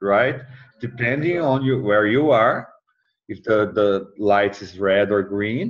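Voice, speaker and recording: This man has a non-native accent and a fairly low voice. He talks very slowly with ordinary pitch variation. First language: not English. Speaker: mentor. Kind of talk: tutoring session. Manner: halting.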